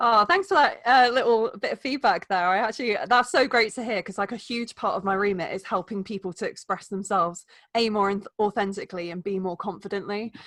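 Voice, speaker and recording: A woman with an English accent talks at a fairly quick pace and fairly high pitch, with ordinary pitch variation and hardly any pauses. Her voice sounds dry and close with no echo, over a quiet background. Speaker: wellbeing coach. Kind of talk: podcast interview. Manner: fast; animated.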